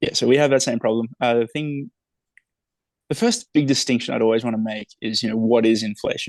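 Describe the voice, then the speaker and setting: With an Australian accent, the speaker moves at a fairly quick pace yet takes long, frequent pauses, keeping fairly even intonation in a dry, close sound with no echo. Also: man. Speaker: author. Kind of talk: interview conversation.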